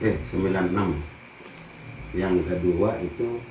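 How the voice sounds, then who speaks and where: A man at a very slow pace, very deep and low in pitch, fairly even intonation, with audible room echo and noticeable background noise. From Banten, Indonesia (rural Lebak). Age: 60s. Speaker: farmer. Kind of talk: interview. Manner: casual.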